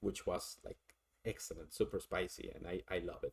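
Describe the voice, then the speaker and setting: In a strong Mexican accent, a man is speaking. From Mexico. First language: Spanish. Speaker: streamer doing tarot readings. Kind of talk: casual live-stream chat. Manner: halting, many fillers and repeats.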